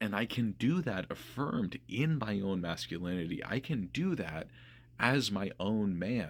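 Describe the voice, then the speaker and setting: Speaking at a fairly slow pace, a man with a fairly low pitch uses lively intonation. The recording is very clean, the background silent. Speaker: video essayist. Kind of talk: personal monologue. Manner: loud.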